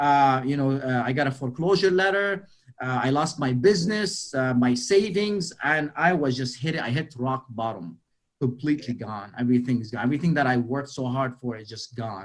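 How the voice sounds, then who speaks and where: A man with a Lebanese accent speaks at a moderate pace in a medium pitch, his intonation lively. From Lebanon. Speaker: motivational speaker. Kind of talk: motivational talk. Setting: webinar. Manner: animated, repetitive.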